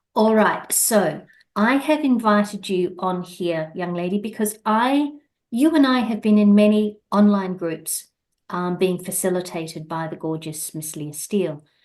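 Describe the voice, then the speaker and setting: A woman speaks at a fairly slow pace with an Australian accent. Her pitch sits in the middle range, and her intonation is lively. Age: 60s. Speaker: podcast host. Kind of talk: casual interview chat.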